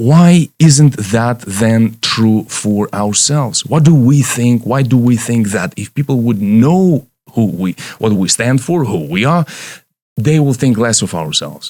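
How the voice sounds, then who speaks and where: Speaking with a non-native accent, a man uses a medium pitch and a dark, mellow tone. His intonation is lively and his pace fairly slow. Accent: foreign. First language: Romanian or Russian. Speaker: leadership coach. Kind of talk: motivational talk. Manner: halting.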